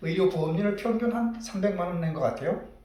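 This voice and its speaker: Noticeable background noise and audible room echo surround the recording. A man talks at a moderate pace with lively intonation. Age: 60s. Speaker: doctor. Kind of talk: personal monologue vlog. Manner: hesitant, many fillers.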